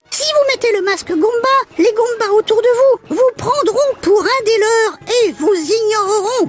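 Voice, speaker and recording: A cartoonish character voice moves at a fairly slow pace with hardly any pauses, faint music playing behind it. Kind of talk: children's show hosting, game tips and quiz. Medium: puppet.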